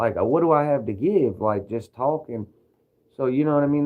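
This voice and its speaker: With a Kentucky accent, a man speaks at a very fast pace. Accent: Kentucky Southern US. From Kentucky, US South. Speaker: livestreamer. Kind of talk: casual livestream monologue. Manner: animated, energetic.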